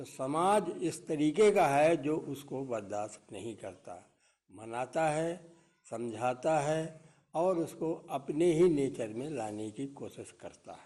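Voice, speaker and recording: A man's dark, mellow voice, fairly high in pitch, with lively intonation. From Panna district, Madhya Pradesh. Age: 70s. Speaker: retired soldier, village elder. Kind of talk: interview.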